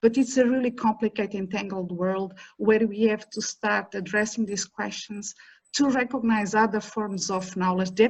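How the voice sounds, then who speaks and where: Here a woman talks at a moderate pace with fairly even intonation. Her voice is somewhat breathy. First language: an African language (neither English nor Portuguese). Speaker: professor. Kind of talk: panel talk.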